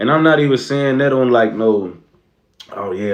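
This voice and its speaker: A man with an American accent talks at a fairly quick pace. His pitch is fairly high, and there is audible room echo. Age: 20s. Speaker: streamer. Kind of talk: casual livestream chat.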